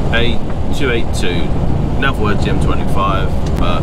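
A man's voice comes through dry and echo-free, moving at a moderate pace against loud background noise. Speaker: truck driver vlogger. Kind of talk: casual vlog chat. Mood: relaxed, chatty. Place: car. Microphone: phone near.

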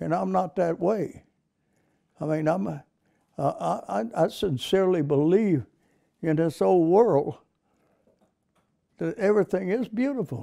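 Against a quiet background, a high-pitched man talks at a fairly slow pace with lively intonation. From United States. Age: 80s+. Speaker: war veteran. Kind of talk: interview answer. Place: home room.

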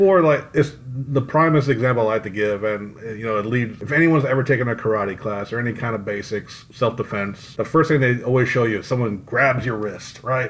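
An ordinary speaking voice from a man, medium in pitch, at a fairly quick pace. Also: ordinary pitch variation. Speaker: podcast co-host. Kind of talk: casual chat.

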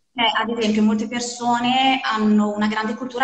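The delivery is monotone and flat in intonation, with a slight Bergamo accent and audible room echo. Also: woman. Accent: slight northern Italian, Bergamo. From Bergamo, northern Italy; northern Italy. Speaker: language school host. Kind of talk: casual chat. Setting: Instagram live video call. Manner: rising sentence-final intonation. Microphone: phone near.

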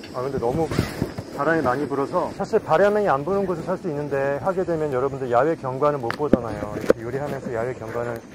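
Amid loud background noise, a man talks at a very fast pace with ordinary pitch variation. The sound is dry, with no echo. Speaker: outdoor cooking vlogger. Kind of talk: casual cooking vlog chat. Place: waterside.

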